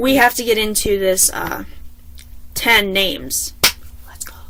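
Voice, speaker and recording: An animated woman's fairly high voice at a fairly slow pace, with noticeable background noise. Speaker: vlogger. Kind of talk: casual chat.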